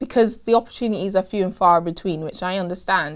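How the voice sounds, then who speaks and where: A woman speaks in a normal speaking voice at a medium pitch. Her intonation is lively. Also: very clean recording, silent background. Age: 20s. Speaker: spoken word poet. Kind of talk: interview answer.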